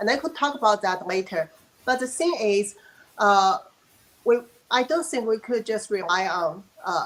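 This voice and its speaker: A woman is speaking. She has a Chinese accent. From China. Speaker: virologist and dissident. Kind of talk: panel discussion.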